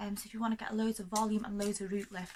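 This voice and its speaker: A woman talks very fast at a medium pitch, her intonation flat and monotone. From North Wales. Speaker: hairdresser. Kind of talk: casual talk to camera.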